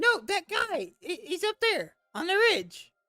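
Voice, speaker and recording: An extremely high, put-on character voice is heard. It moves at a fairly slow pace. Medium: actual play. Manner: rambling, stammering, scattered.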